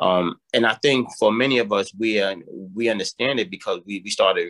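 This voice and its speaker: In a dry, close sound with no echo, a man with a New York accent talks at a fairly quick pace. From New York, South Bronx. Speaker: mentoring program director. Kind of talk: interview. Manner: hesitant, many fillers and repetitions.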